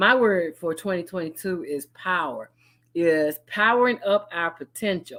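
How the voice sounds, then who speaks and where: This woman speaks with a Southern US accent. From Chattanooga, Tennessee. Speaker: business consultant and project manager. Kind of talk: live broadcast business talk. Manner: casual, conversational.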